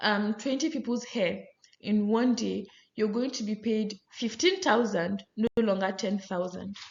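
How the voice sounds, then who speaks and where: A woman with a plain, everyday voice speaks at a fairly slow pace, her intonation lively. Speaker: lecturer. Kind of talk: lecture.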